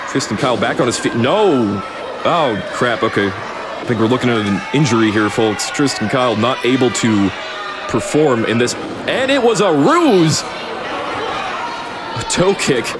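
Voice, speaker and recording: Through noticeable background noise, a man with a medium pitch sounds energetic and excited, using lively intonation at a fairly slow pace. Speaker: wrestling commentator. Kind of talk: improvised sports commentary. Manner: energetic, excited.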